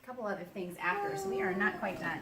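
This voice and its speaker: A woman talking very fast, with audible room echo and noticeable background noise. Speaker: travel and product reviewer. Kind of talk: casual walkthrough video tour. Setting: hotel room and patio. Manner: animated; quieter, lowered voice outdoors.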